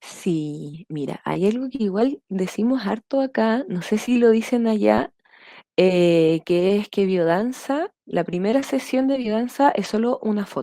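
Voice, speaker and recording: A woman with a fairly high, dark, mellow voice speaks fairly slowly with lively intonation, the sound dry and close with no echo. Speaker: Biodanza facilitator, podcast guest. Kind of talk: interview answer.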